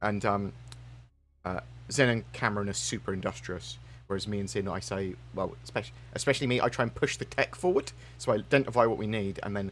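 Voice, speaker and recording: A man's fairly low voice with vocal fry, very wide pitch swings and a fairly quick pace. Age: 30s. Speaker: gaming youtuber. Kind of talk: live stream chat. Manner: stutters, self-corrects; rambling, fast.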